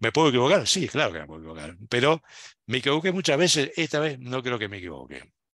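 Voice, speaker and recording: Talking at a very fast pace, a man with a medium pitch and vocal fry swings very widely in pitch and loudness, in a very clean recording with a silent background. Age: 60s. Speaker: university program director and lecturer. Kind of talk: lecture. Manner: animated.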